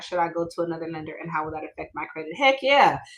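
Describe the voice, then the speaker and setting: A woman talks in an animated tone. Her pitch sits fairly low. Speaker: mortgage broker. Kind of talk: webinar presentation. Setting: live stream. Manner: fast.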